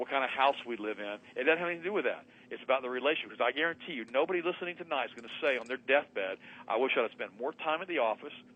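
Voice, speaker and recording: A man at a very fast pace, animated in tone, with a medium pitch and ordinary pitch variation. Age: 60s. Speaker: health and wellness radio host, guest. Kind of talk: radio interview monologue, preachy. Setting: radio show via Skype. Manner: animated, emphatic.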